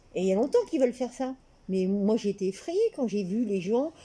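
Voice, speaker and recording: Her voice is dark and mellow as the woman speaks. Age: 60s. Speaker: interviewee. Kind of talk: casual chat. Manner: halting.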